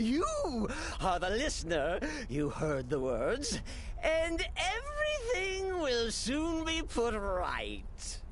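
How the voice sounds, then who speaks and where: A man performs a put-on character voice at a very slow pace. Clear background noise can be heard. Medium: video game. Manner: giggly, manic, theatrical.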